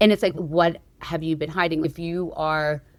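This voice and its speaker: A woman speaks in a plain, everyday voice at a fairly low pitch and a fairly slow pace, with fairly even intonation. The recording is very clean, with a silent background. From New York City. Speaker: singer-songwriter and producer. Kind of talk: interview conversation.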